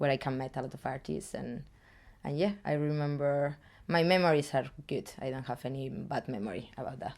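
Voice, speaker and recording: Delivered at a fairly quick pace with ordinary pitch variation, this voice has a Spanish accent on a very clean recording with a silent background. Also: woman, very deep, low pitch for a woman. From Spain. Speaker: street artist. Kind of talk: interview. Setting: artist's studio. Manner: halting.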